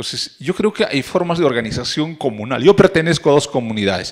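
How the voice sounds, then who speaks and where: A man speaks at a fairly high pitch, his voice swinging very widely up and down. The background is quiet. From Peru, Puno (Aymara community, Ilave); Puno, Peru. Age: 50s. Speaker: university lecturer. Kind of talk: lecture. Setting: forum with audience.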